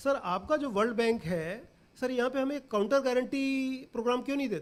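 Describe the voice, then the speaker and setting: On a very clean recording with a silent background, a man with an extremely high pitch talks at a moderate pace with ordinary pitch variation. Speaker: bioenergy plant developer. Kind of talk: workshop panel discussion. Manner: animated, emphatic.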